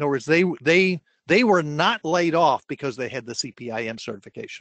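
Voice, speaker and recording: The sound is dry and close, with no echo. The background is quiet. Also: man. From New Jersey. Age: 60s. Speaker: career coach. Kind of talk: webinar Q&A.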